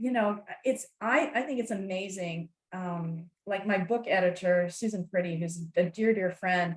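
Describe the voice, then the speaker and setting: A woman at medium pitch, speaking at a fairly slow pace. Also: ordinary pitch variation. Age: 60s. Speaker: author and networking speaker. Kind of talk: podcast interview. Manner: animated.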